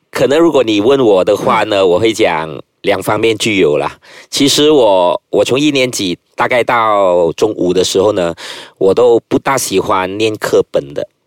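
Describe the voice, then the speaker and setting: A man speaks fairly slowly in a plain, everyday voice at a medium pitch with lively intonation, on a very clean recording with a silent background and a dry, close sound with no echo. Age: 30s. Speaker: politician and lawyer. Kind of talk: casual interview.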